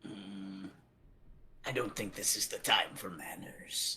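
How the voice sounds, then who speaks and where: A man uses a raspy, put-on character voice. He speaks fairly slowly at a fairly low pitch. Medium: actual play.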